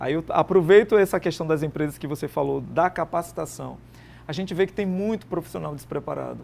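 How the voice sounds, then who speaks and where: A man speaks fairly quickly. His recording is very clean, and the background is silent. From Paraíba, Brazil. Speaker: artist and entrepreneur. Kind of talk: TV interview.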